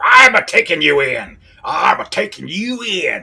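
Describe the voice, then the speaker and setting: An extremely high-pitched put-on character voice from a man. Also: moderate pace. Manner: barking, gruff.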